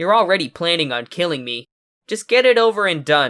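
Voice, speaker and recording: A man's put-on character voice, high-pitched, with very wide pitch swings. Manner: resigned.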